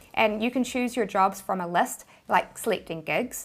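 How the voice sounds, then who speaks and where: In a New Zealand accent, a woman speaks at medium pitch and a moderate pace. Her pitch variation is ordinary, and the recording is very clean with a silent background. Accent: New Zealand accent, noticeable. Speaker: YouTuber, money-making tips. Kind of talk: tutorial.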